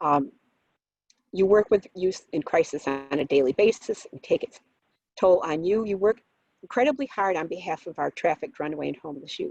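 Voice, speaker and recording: A woman with a medium-pitched voice talks at a fairly quick pace with lively intonation and big swings in loudness, in a dry, close sound with no echo. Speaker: presenter on youth suicide prevention. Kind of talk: conference presentation. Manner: fast.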